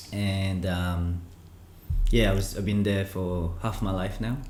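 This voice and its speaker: Audible room echo surrounds a man speaking with a Filipino accent. His voice is very deep and low, and somewhat breathy. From Philippines (Manila, Cavite), then Melbourne, Australia. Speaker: krump dancer and DJ. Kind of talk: casual chat.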